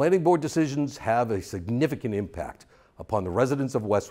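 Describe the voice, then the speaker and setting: This man talks at a fairly quick clip in a dark, mellow tone with vocal fry, his pitch swinging very widely. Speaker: election candidate. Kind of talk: campaign statement. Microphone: lapel.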